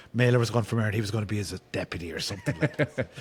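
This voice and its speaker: A somewhat breathy man with an Irish accent, at medium pitch and a very fast pace, with ordinary pitch variation. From Ireland. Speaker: novelist. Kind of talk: podcast interview answer.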